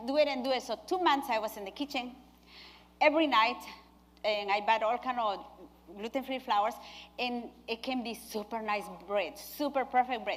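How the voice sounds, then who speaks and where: This woman has a high pitch and a non-native accent. She speaks at a moderate pace with ordinary pitch variation. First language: not English. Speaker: nurse and cooking demonstrator. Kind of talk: cooking demonstration. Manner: halting.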